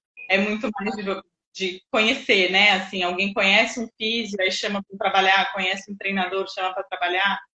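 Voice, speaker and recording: Speaking at a moderate pace, a woman of medium pitch keeps a monotone, flat intonation. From Jundiaí, São Paulo state, Brazil. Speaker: sports psychologist. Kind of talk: interview conversation.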